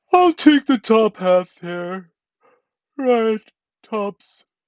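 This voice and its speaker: A growling, put-on character voice at a fairly high pitch and a very slow pace. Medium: read story. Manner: slow, drowsy.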